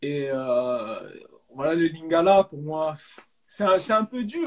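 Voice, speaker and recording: This man's pitch sits fairly high and his intonation is lively. He speaks at a very slow pace. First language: Dutch (speaking French). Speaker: professional footballer. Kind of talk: live interview. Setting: online live stream. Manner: hesitant, many fillers.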